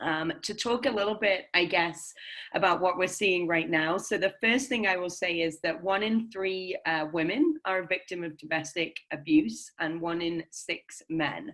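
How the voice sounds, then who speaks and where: This woman has an English accent and a fairly low pitch. She keeps a moderate pace with hardly any pauses. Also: ordinary pitch variation. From England. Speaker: nonprofit philanthropy manager. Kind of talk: guest talk. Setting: video call. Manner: hesitant, many ums.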